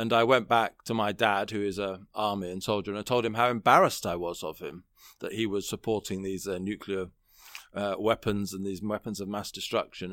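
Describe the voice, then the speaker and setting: A man with a British accent talks at a fairly quick pace in a very clean recording with a silent background. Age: 40s. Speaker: political columnist and commentator. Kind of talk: interview, political discussion.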